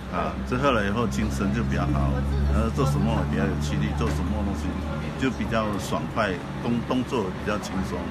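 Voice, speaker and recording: A man at a fairly quick pace over loud background noise. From Rengit, Malaysia. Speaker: retired school principal. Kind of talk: testimonial interview answer. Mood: calm, friendly. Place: hall. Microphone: phone near.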